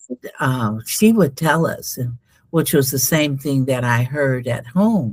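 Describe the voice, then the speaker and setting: With an American accent, a woman with a very deep, low pitch and ordinary pitch variation speaks fairly slowly on a very clean recording with a silent background. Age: 70s. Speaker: spiritual healer. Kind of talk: interview. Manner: halting.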